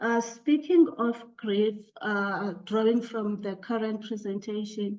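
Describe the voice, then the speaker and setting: Speaking very slowly with a South African accent, a woman keeps her medium-pitched voice in fairly even intonation. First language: Xhosa. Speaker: academic panelist. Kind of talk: academic discussion. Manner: halting, many fillers.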